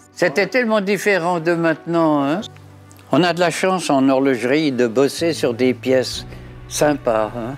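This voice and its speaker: Music plays in the background. A man speaks at a fairly slow pace with lively intonation. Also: fairly high pitch for a man. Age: 80s+. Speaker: retired watchmaker. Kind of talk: interview answer.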